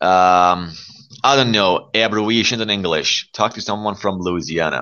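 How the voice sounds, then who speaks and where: Ordinary pitch variation marks a man's fairly low-pitched speech. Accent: American. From Iran. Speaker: English learning live-stream host. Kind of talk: casual chat. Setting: live audio stream app. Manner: animated.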